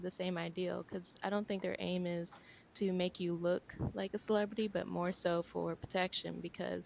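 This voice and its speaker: A quiet woman at a moderate pace. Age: young. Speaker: videographer and photographer. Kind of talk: audience comment.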